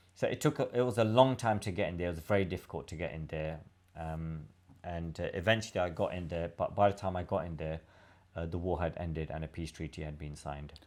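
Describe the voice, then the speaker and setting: With a British accent, a man speaks very fast in a very deep, low voice with ordinary pitch variation, on a very clean recording with a silent background. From London, England. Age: 50s. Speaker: former prisoner telling his life story. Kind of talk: casual interview chat. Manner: halting, many fillers.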